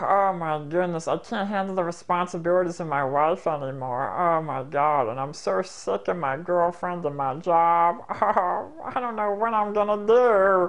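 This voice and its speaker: This put-on character voice sits at a middle pitch and runs on with hardly any pauses. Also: moderate pace. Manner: silly, funny voice.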